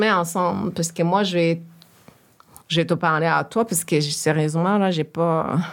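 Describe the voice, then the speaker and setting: In a very clean recording with a silent background, a woman with a plain, everyday voice speaks fairly slowly at a fairly low pitch. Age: 40s. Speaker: professional speaking on systemic racism. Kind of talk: casual conversation.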